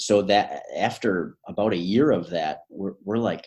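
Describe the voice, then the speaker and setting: In an American accent, a man speaks at a fairly low pitch. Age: 30s. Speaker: supplement store owner. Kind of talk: casual interview.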